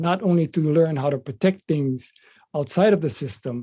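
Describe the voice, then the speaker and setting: In a Hawaiian accent, the voice has a dark, mellow tone, somewhat breathy, at a moderate pace. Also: man. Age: 70s. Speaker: political candidate and activist. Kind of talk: interview. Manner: hesitant, many fillers.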